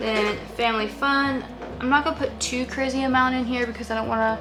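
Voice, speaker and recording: A woman at a moderate pace, music in the background and audible room echo around her. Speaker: family vlogger. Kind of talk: casual tutorial vlog. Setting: home office, speaking to camera. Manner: rambling, filler-heavy.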